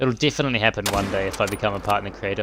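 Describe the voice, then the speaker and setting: A man with a fairly low pitch, fairly even intonation, vocal fry and a very fast pace. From New Zealand. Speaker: gaming streamer. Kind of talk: live gameplay stream chatting with viewers. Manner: casual, relaxed.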